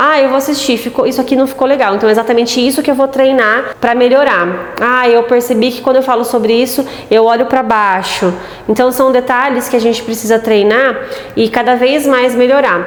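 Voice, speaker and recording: Amid noticeable background noise and audible room echo, a woman speaks at a high pitch and a fairly quick pace with fairly even intonation. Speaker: aesthetics professional and content creator. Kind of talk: tutorial.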